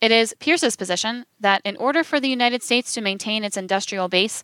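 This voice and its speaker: A woman with a bright, sharp tone talks at a fairly quick pace in a fairly high pitch, the sound dry and close with no echo. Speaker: audiobook narrator. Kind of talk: audiobook reading of a biography chapter. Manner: formal, even-paced, measured narration.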